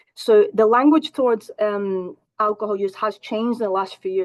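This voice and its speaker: With a Scottish accent, a woman speaks at a moderate pace and a fairly high pitch, the sound dry and close with no echo. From Scotland. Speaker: counselling psychologist. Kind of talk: presentation.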